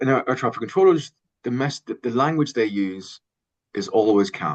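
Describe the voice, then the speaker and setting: A man with an Irish accent speaks at medium pitch with lively intonation. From Ireland. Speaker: sports communication consultant, researcher. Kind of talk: interview answer.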